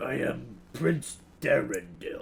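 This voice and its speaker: A man uses a raspy, put-on character voice. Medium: actual play. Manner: formal, wistful.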